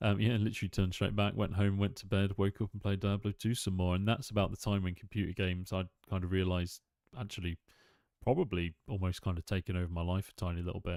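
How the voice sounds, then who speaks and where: A man with a British accent and a very deep, low pitch, speaking very fast in a monotone, flat delivery, with a dry, close sound, no echo, and a very clean recording against a silent background. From UK. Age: 30s. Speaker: gaming streamer. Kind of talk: casual gaming stream commentary. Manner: casual, hesitant with fillers.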